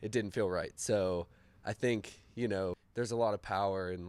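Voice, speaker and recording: The speaker is a man with an American accent. He talks at a moderate pace on a very clean recording with a silent background. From western Pennsylvania (Indiana, PA). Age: 30s. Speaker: vintage shop owner. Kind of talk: interview. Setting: in his shop. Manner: casual, hesitant with fillers.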